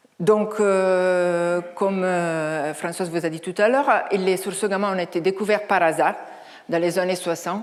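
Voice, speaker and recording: With an Italian accent, a woman speaks fairly slowly at a medium pitch and fairly even intonation, with audible room echo around her. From Italy. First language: Italian (speaking French). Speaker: astrophysicist, research director. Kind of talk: lecture. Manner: halting, many hesitations.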